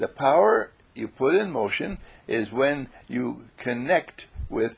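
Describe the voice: Straightforward reading aloud.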